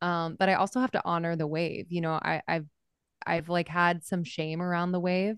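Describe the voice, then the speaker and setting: In a normal speaking voice with fairly even intonation and very even loudness, the speech has a dry, close sound with no echo over a quiet background. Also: woman, fairly low pitch for a woman, moderate pace. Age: 30s. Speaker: podcast host. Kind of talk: interview.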